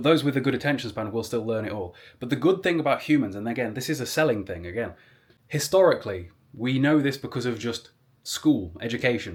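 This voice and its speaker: A man talks at a very fast pace with lively intonation at a medium pitch. The recording is very clean, with a silent background. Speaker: social media content creator. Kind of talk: advice monologue vlog. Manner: rambling, conversational; articulate, engaging speaker.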